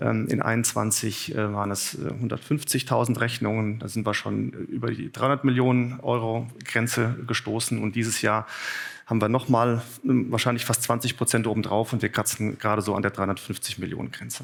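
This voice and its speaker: A man's medium-pitched voice with vocal fry, at a fairly quick pace and with fairly even intonation. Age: 40s. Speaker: business executive, conference speaker. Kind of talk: conference talk. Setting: conference room with audience. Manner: hesitant, many filler sounds.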